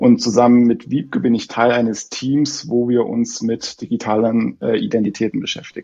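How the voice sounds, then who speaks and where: Hardly pausing, a man talks at a moderate pace. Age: 40s. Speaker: bank identity specialist. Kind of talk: interview. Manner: hesitant, many fillers.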